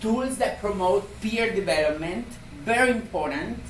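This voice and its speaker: Amid noticeable background noise and audible room echo, a woman with a strong Argentine accent speaks at a fairly slow pace. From Argentina. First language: Spanish. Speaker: community health program coordinator. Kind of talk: conference presentation.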